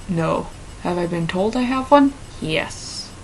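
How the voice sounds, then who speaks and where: Noticeable background noise sits behind a woman with an American accent. Her intonation is lively. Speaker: vlogger. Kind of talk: casual vlog, reading and answering quiz questions. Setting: talking to camera alone. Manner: hesitant, with fillers and false starts.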